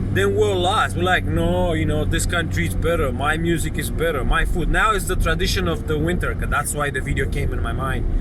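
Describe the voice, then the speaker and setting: With a Romanian accent, a man talks at a fairly quick pace with hardly any pauses over noticeable background noise. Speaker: vlogger. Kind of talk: casual monologue.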